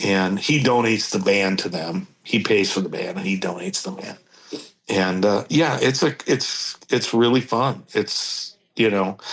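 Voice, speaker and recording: At a fairly slow pace, a man with a fairly low pitch speaks with lively intonation. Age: 60s. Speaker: steel guitarist. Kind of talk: casual interview chat. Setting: podcast interview. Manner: halting, many fillers.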